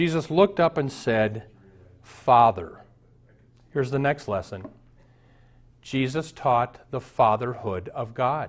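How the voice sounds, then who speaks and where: Speaking at a medium pitch with lively intonation, a man goes at a fairly slow pace and leaves long, frequent pauses. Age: 60s. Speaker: pastor. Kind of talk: sermon.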